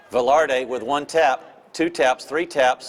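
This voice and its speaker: Speaking at a very slow pace, a man uses a medium pitch with ordinary pitch variation. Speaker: polo match commentator. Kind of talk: live commentary. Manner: animated.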